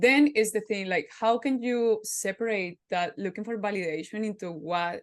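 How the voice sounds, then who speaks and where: Against a quiet background, a woman speaks at a fairly slow pace. Her pitch sits in the medium range, with ordinary variation. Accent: Spanish. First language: Spanish. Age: 30s. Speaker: podcast host. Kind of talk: casual interview chat.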